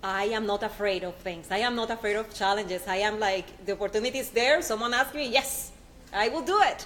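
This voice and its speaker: With a Spanish accent, a woman talks at a fairly quick pace in a fairly high pitch with ordinary pitch variation, over noticeable background noise. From Puerto Rico. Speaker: nanotechnology scientist. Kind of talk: panel discussion.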